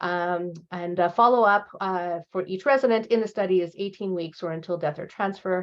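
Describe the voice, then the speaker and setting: Her pitch is medium, with ordinary variation. The woman talks with hardly any pauses. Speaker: professor and researcher. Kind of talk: lecture. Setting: seminar presentation. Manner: fast; halting, many fillers and repetitions.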